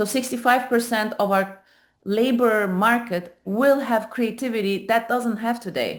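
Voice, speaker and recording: With a Turkish accent, a woman talks at a fairly slow pace in a fairly high pitch, her intonation fairly even. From Turkey. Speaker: AI startup founder. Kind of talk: panel presentation. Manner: halting, many fillers.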